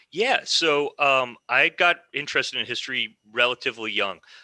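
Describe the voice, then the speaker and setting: On a very clean recording with a silent background and a dry, close sound with no echo, a man with an American accent and a bright, sharp tone speaks at a fairly slow pace with ordinary pitch variation. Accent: American twang. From US Midwest, Michigan (Ann Arbor). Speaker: military historian. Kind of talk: podcast interview.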